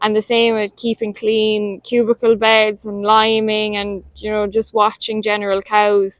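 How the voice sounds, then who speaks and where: Fairly high in pitch, a woman speaks at a fairly slow pace with hardly any pauses. Her intonation is monotone and flat. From Ireland, County Limerick. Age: young. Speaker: dairy farmer. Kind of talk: testimonial.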